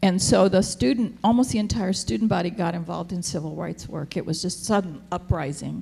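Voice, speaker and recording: A fairly low, fairly quick woman's voice with vocal fry, a dark, mellow tone and hardly any pauses. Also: ordinary pitch variation. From US, military family, born in Japan. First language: Japanese. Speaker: theologian, panelist. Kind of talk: panel discussion. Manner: casual, halting.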